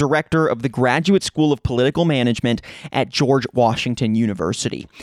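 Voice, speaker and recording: An unremarkable speaking voice of a man, moderate in pace with lively intonation, in a dry, close sound with no echo on a very clean recording with a silent background. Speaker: podcast host. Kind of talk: interview podcast, scripted intro and casual conversation.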